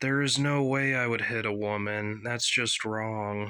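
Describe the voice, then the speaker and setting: Putting on a character voice, a man speaks at a medium pitch with fairly even intonation. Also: fairly slow pace. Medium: read story.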